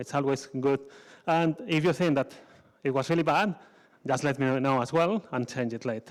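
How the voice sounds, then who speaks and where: A man talks at a moderate pace with a Spanish accent and ordinary pitch variation. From Spain. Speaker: conference speaker. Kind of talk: conference talk. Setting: stage with audience.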